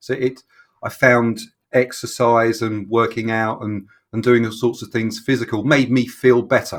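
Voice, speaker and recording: Talking at a moderate pace, a man with a London accent holds a medium pitch in flat, monotone intonation. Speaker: fitness coach. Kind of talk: casual interview. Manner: halting.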